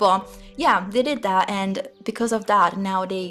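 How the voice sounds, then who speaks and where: A woman speaks with an Italian accent. Her pitch is medium and her pace moderate. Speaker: gaming YouTuber. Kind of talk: voiceover commentary. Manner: halting.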